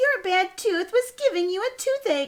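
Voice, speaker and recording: At a moderate pace, a woman puts on a squeaky character voice at an extremely high pitch. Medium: read story.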